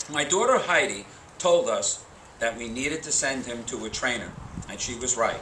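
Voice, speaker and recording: Noticeable noise sits behind a man whose voice is fairly high in pitch. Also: moderate pace. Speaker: retired middle school teacher, keynote speaker at a high school graduation. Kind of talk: graduation commencement speech. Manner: humorous, storytelling.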